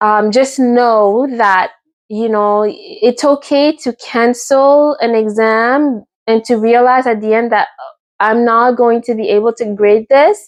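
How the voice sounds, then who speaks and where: A woman's fairly high voice in a Quebec accent, very slow, with ordinary pitch variation. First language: French. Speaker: teacher, vlogger. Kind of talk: casual talking-head vlog. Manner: hesitant, many fillers.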